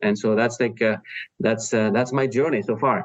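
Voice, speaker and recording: A man with a French accent, very fast, with ordinary pitch variation. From France. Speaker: startup founder. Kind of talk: interview. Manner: halting, many fillers.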